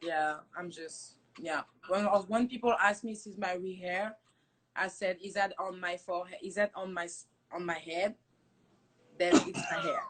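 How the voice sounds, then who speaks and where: A woman with a French accent speaks at a fairly slow pace with fairly even intonation. Her loudness swings widely. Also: medium pitch for a woman. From France. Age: 20s. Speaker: hair company founder. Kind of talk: casual chat. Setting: Instagram live stream.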